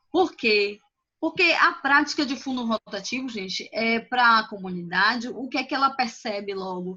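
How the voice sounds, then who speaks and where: Her tone is bright and sharp. The woman speaks with fairly high pitch and lively intonation. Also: moderate pace. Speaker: finance consultant. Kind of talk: online presentation. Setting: video call.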